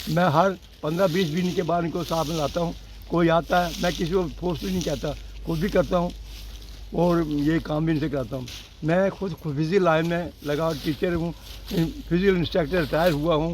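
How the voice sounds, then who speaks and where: A man's high-pitched voice, flat and monotone, at a moderate pace. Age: 80s+. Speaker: retired physical education teacher. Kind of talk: interview.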